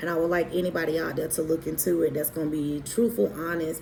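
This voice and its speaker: Over noticeable background noise, a woman talks very fast in a very deep, low pitch with fairly even intonation. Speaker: abuse survivor telling her story. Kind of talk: personal testimony monologue. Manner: halting, many fillers; emphatic, preaching.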